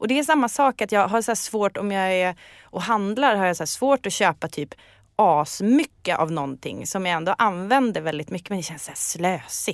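A woman's medium-pitched voice with lively intonation at a moderate pace, in a very clean recording with a silent background and a dry, close sound with no echo. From northern Sweden, Umeå area. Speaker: podcast guest. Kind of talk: casual chat.

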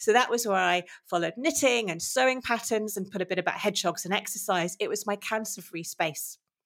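A woman with a British accent and medium pitch speaks at a fairly quick pace, with ordinary pitch variation and hardly any pauses. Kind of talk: interview conversation. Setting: remote call.

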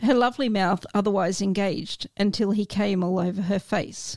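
A plain, everyday voice from a woman at a medium pitch with fairly even intonation, dry and close with no echo. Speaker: guest reader. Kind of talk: reading aloud and casual chat.

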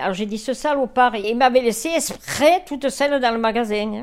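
Recorded very cleanly against a silent background, a woman with a normal speaking voice talks at a moderate pace, her fairly high pitch showing ordinary variation. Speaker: elderly woman sharing childhood memories. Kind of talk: storytelling reminiscence. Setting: indoors, home living room.

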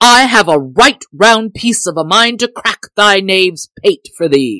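In a put-on character voice that sounds female, the speaker uses an angry tone. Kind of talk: archaic. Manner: angry, like a bull.

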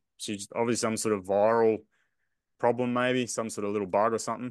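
A man's fairly low voice in an Australian accent, with fairly even intonation at a fairly quick pace over a quiet background. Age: 40s. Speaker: podcast co-host, runner. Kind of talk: casual chat.

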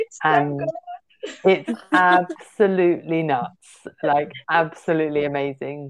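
At a very slow pace with hardly any pauses, a woman speaks in a southern English accent. Her pitch is fairly low, with ordinary pitch variation. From southern England (Portsmouth). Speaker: literary translator and publicist. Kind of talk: interview.

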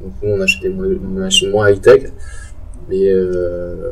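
A man talks at a very slow pace with big swings in loudness. Noticeable background noise runs underneath. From Strasbourg, Alsace, France. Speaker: urban farm entrepreneur. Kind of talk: casual interview. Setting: underground urban farm in a converted car park.

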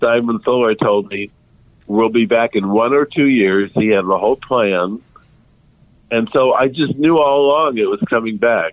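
Moderate pace and normal pitch movement from a man with a plain, everyday voice, medium in pitch. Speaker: music journalist. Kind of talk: casual interview chat.

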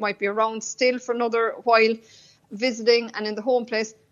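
A woman with a Cork accent talks very fast in a flat monotone at a fairly high pitch. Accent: Irish (Cork). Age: 40s. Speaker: decluttering consultant. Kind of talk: radio interview.

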